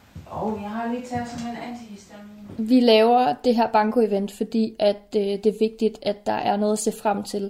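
With hardly any pauses and at a moderate pace, a woman with a fairly high pitch speaks in fairly even intonation but big swings in loudness, over noticeable background noise. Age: 30s. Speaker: chronically ill early pensioner. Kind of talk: personal audio diary. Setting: self-recorded at home.

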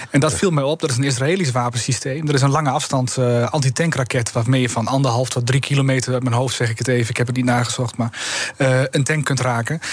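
A man's medium-pitched voice at a very fast pace, with fairly even intonation and noticeable background noise. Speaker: politician. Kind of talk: radio interview.

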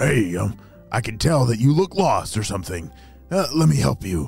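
Using a raspy, put-on character voice, a man speaks at a moderate pace and a medium pitch with faint music in the background. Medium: read story. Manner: coaxing.

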